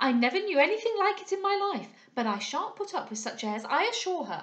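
A woman does a put-on character voice at an extremely high pitch, swinging widely up and down at a fairly quick pace amid audible room echo. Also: fairly bright tone.

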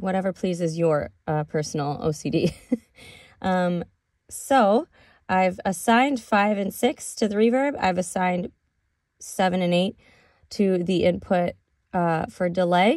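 Over a quiet background, a woman speaks at a fairly slow pace with long, frequent pauses and ordinary pitch variation. Her loudness swings widely, and the sound is dry with no echo. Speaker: music production teacher. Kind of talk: tutorial. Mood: relaxed, casual.

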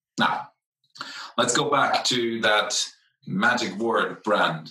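A bright, sharp tone defines this voice. It belongs to a man. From Netherlands/Italy. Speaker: brand advisor and CEO. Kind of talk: conference talk. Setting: conference presentation.

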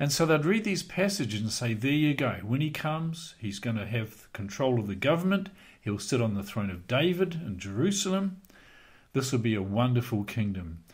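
Very wide pitch swings against a quiet background. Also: man, moderate pace. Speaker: bible teacher. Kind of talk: lecture. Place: home room. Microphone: studio mic.

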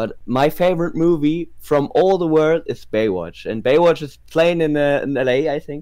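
Speaking with a German accent, a man with a fairly high pitch and a dark, mellow tone keeps a moderate pace and ordinary pitch variation. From northern Germany, near Wilhelmshaven. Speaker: subscriber interviewed about his city. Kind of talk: casual chat. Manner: halting, hesitant non-native English.

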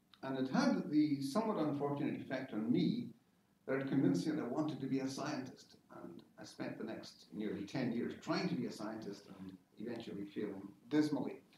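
A fairly quick man's voice in a Scottish accent with very wide pitch swings, audible room echo and light background noise. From Scotland, Isle of Lewis and Greenock; Scotland. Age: 60s. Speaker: science-fiction novelist; guest. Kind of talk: informal talk to an audience. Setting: lecture hall with audience. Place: classroom. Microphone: camera far.

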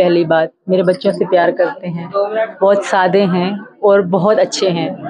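A woman's medium-pitched voice with fairly even intonation at a fairly slow pace. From Pakistan. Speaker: interviewee. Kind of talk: interview answer. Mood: earnest, at times emotional. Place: home room. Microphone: handheld.

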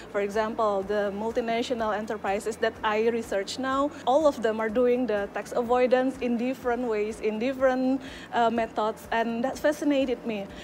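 A woman talks with hardly any pauses and fairly even intonation. Light background noise is present. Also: fairly high pitch for a woman, moderate pace. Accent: Indonesian. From Indonesia. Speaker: PhD student. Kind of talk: personal testimony. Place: open country. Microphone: handheld.

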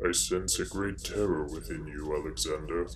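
Loud background noise behind a man's moderate pace. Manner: simple, broken grammar.

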